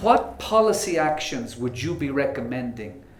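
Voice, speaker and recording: A man's fairly high voice with an Irish accent and very wide pitch swings, amid noticeable background noise and audible room echo. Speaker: moderator, diplomat. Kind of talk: panel talk.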